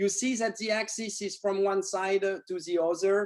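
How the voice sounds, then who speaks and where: This man speaks with a French accent and a high pitch. His pace is moderate. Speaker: neurosurgeon. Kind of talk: lecture. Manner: halting.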